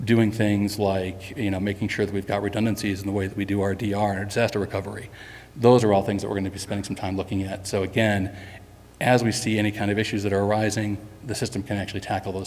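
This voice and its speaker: With a fairly low pitch and monotone, flat intonation, a man speaks at a very fast pace in a room with audible echo. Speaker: software company executive presenting to customers. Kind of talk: conference presentation. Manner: frequent fillers (um, uh).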